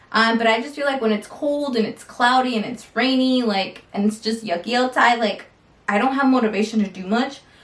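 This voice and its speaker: Fairly high-pitched woman's voice at a fairly quick pace, fairly even intonation, and noticeable background noise. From US Midwest, Iowa. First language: Spanish. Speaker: lifestyle vlogger. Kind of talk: casual Q&A vlog. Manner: casual, many fillers.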